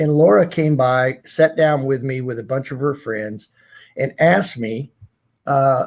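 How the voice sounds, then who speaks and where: In an American accent, a man with a plain, everyday voice speaks fairly slowly at a medium pitch with ordinary pitch variation. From US South. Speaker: retired corporate executive. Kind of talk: interview storytelling.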